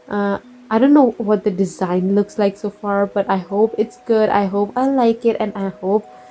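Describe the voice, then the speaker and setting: A woman talks at a moderate pace with a non-native accent. Her pitch is medium and varies in an ordinary way. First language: not English. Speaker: art YouTuber, webcomic creator. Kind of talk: casual draw-with-me chat. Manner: halting, self-correcting.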